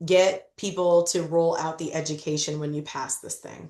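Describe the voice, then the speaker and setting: A woman speaks at a fairly low pitch with fairly even intonation. It is a normal speaking voice. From Illinois, US Midwest. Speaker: legal expert presenter. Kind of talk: presentation at a policy meeting. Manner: casual, direct.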